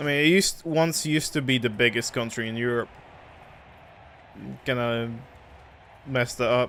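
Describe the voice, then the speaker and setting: A man speaks at a medium pitch with a Polish accent. His pitch variation is ordinary, and he leaves long, frequent pauses. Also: moderate pace. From Poland. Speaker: game streamer. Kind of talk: casual chat.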